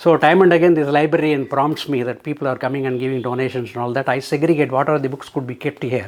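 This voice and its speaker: At a very fast pace, a man speaks with fairly even intonation and a fairly high pitch. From South India. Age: 80s+. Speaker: retired engineer, senior living resident. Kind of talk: testimonial interview. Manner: halting.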